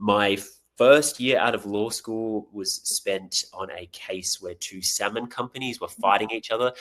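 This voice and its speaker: Recorded very cleanly against a silent background, a man with an Australian accent talks at a moderate pace in a fairly low voice. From Australia, Tasmania. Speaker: actor. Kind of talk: podcast interview.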